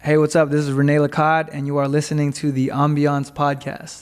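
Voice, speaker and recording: With a Los Angeles accent, a man speaks in a monotone, flat intonation. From Los Angeles, US West Coast. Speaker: entrepreneur. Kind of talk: casual interview chat. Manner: fast-paced.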